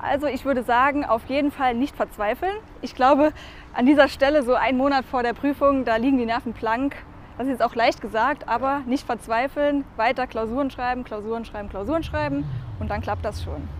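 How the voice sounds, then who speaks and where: A woman talks fairly quickly in a high pitch, her pitch varying in an ordinary way. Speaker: tax advisor. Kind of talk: casual interview. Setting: on location over lunch.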